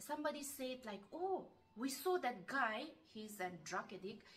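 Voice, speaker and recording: Loud background noise fills the clip while a woman talks at a moderate pace. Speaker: vlogger. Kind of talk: casual storytelling in a Q&A. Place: home room. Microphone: camera far.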